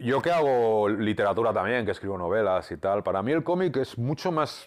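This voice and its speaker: A man's lively intonation comes at a moderate pace, with a quiet background behind him. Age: 50s. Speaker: comic book writer. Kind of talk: interview. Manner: halting, many repeated words. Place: home room. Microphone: lapel.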